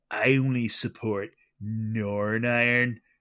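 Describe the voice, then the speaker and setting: In a very clean recording with a silent background, a man does a put-on character voice at medium pitch, fairly slow and monotone. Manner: curt, hostile.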